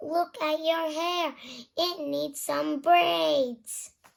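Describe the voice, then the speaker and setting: A woman does a squeaky, put-on character voice at a high pitch and a very slow pace. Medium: read story.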